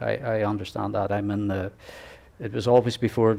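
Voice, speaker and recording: In an Irish accent, a man talks very fast in a flat monotone at a fairly low pitch. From Ireland. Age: 60s. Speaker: ultra-cycling racer and association president. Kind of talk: interview. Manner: halting, many fillers and restarts.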